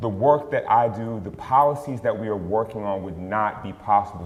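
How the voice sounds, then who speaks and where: A man's fairly low, fairly quick voice with an American accent and ordinary pitch variation, over noticeable background noise. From West Philadelphia. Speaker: panel moderator and advocate. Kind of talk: panel moderation.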